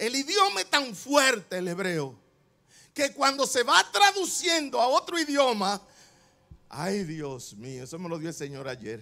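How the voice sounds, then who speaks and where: A man with a high pitch speaks in a raised, projected voice and an animated tone, with very wide pitch swings, at a fairly slow pace. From Dominican Republic. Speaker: pastor. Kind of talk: sermon. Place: church. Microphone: handheld.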